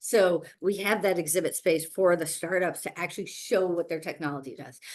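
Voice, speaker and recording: A woman at a fairly quick pace, with fairly even intonation. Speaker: virtual summit host and event organizer. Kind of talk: webinar presentation with slides. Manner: fast; filler-heavy, repetitive restarts.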